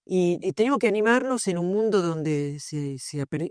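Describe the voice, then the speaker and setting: In a normal speaking voice, a woman talks at a fairly quick pace and fairly low pitch with lively intonation, recorded dry and close with no echo against a quiet background. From southern Italy. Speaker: philosophy professor. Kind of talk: panel discussion at book launch.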